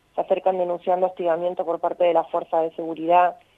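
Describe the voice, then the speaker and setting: Speaking at a fairly quick pace, a woman has a fairly low pitch. Her intonation is monotone and flat. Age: 30s. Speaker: sex worker and union leader, author. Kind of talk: radio interview.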